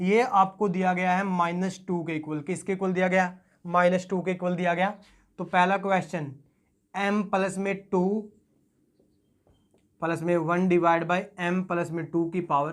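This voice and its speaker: A high-pitched man talks at a fairly slow pace with long, frequent pauses. His intonation is flat and monotone, recorded very cleanly against a silent background. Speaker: math teacher. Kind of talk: lecture.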